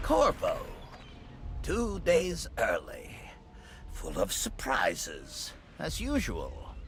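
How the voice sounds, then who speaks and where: A man speaks in a put-on character voice at a very slow pace, with long, frequent pauses over clear background noise. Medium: video game. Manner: cold, clipped.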